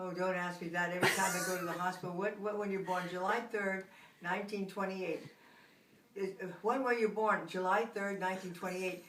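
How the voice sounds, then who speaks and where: A woman's medium-pitched, monotone, flat delivery at a fairly quick pace, with noticeable background noise and audible room echo. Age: 80s+. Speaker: grandmother interviewed by grandchild. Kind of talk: casual family interview.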